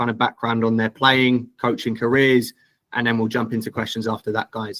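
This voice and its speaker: A man with an English accent speaks at a medium pitch in a monotone, flat intonation, the sound dry and close with no echo. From England. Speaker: recruitment director, webinar host. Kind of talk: webinar Q&A hosting. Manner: casual, filler-heavy.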